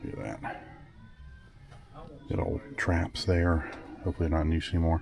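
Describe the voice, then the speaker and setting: There is noticeable background noise as a man speaks in a very deep, low voice. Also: ordinary pitch variation, moderate pace. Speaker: vlogger. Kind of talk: walking tour vlog. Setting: indoors in antique mall. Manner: casual, enthusiastic.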